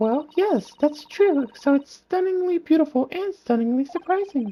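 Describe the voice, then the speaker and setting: Doing a put-on character voice, a woman speaks at a moderate pace with a high, squeaky pitch, lively intonation and a gentle tone. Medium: game stream. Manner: polite, gentle.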